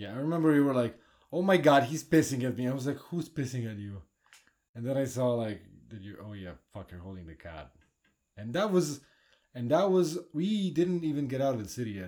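In a Polish accent, this voice has a dark, mellow tone and very wide pitch swings. The pace is fairly quick, with big swings in loudness. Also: man, medium pitch for a man. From Poland. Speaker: podcast host. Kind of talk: casual chat.

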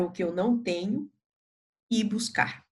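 This woman's voice sits fairly high in pitch, and she talks at a fairly slow pace. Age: old. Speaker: palliative care physician. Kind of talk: podcast interview.

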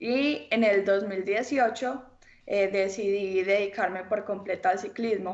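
A woman's voice at medium pitch. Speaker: professional cyclist. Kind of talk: interview. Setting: video call. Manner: hesitant, many fillers.

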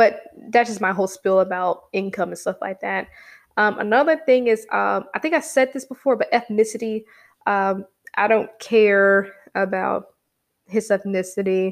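A woman with an ordinary speaking voice talks at a medium pitch and a moderate pace. Her pitch variation is ordinary, and the recording is very clean with a silent background. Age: 20s. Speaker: solo podcast host. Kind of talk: casual monologue. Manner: chatty, conversational.

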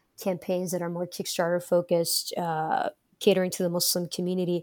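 In a very clean recording with a silent background, a woman with an American accent and an ordinary speaking voice talks at a fairly quick pace in a fairly low pitch. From Detroit, Michigan, US. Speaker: tech startup co-founder. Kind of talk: interview.

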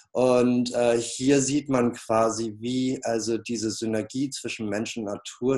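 The voice has a dark, mellow tone and a monotone, flat intonation, moving at a very slow pace. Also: man. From northern Germany, Flensburg. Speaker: peace artist. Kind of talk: interview. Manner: many filler sounds, hesitant.

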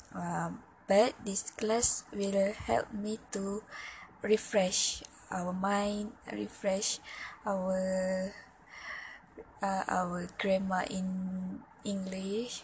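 In a Malaysian accent, a woman speaks at a very slow pace and a medium pitch with flat, monotone intonation. Long, frequent pauses break her speech, and background noise is noticeable. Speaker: university student. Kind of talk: class assignment monologue. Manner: halting, with many fillers and repetitions.

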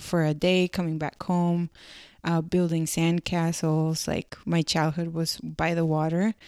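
A woman with a Spanish accent speaks fairly slowly at a fairly low pitch, in a monotone, flat intonation. The recording is very clean with a silent background and a dry, close sound with no echo. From Mexico, Culiacán, Sinaloa. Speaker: industrial designer. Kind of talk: casual chat.

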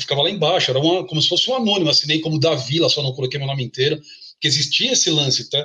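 Speaking at a very fast pace, a man uses a fairly high voice. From São Paulo, Brazil. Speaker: samba composer. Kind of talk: casual interview.

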